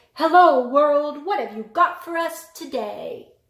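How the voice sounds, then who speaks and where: In a loud, high-pitched, put-on character voice, the speaker sounds cheerful and moves at a fairly slow pace. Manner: cheerful, booming.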